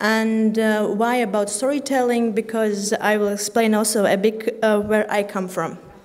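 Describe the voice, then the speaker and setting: There is audible room echo as a woman speaks. Her pitch is fairly high, and her pace is moderate. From Latvia, Riga. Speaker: conference speaker, graduate student. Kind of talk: conference talk. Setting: stage with audience. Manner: halting, many fillers.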